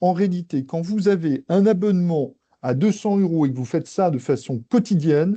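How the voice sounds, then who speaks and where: Speaking at a moderate pace, a man with a high pitch and a dark, mellow tone uses lively intonation, the sound dry and close with no echo over a quiet background. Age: 60s. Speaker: AI consultant and trainer. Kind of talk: webinar presentation. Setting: online webinar.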